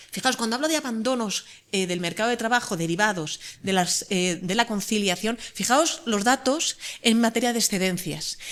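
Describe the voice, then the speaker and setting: Fairly high, lively-sounding speech from a woman against noticeable background noise. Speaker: law professor. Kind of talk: conference talk. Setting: conference panel. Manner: fast.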